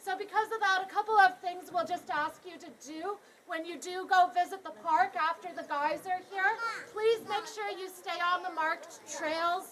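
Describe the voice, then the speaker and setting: A woman with a Canadian accent talks at a moderate pace in an extremely high pitch. Her loudness swings widely. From Canada. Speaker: tour guide. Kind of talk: guided tour talk. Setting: outdoors. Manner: animated.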